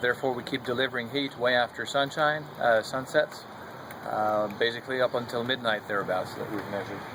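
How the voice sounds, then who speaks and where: Over noticeable background noise, a man with a slight French Canadian accent talks fairly quickly at a medium pitch with fairly even intonation. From Quebec. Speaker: solar heating company representative. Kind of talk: product presentation.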